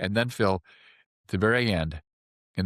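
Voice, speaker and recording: A man speaks in an animated tone with vocal fry, recorded with a dry, close sound, no echo and a very clean, silent background. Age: 70s. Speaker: acupuncturist. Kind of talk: interview. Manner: animated storytelling.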